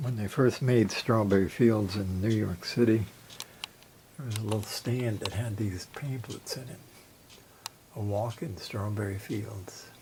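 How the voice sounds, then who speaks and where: A man talks at a fairly slow pace and a fairly low pitch, with ordinary pitch variation and big swings in loudness. Long, frequent pauses break up his speech over noticeable background noise. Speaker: collector showing his collection. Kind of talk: casual video tour. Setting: home collection room. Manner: soft-spoken.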